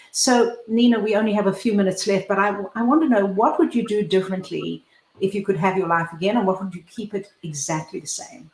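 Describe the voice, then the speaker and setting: A woman with a medium pitch and a somewhat breathy voice talks at a fairly quick pace with ordinary pitch variation. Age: 70s. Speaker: talk show host and foundation founder. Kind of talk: interview show. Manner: animated.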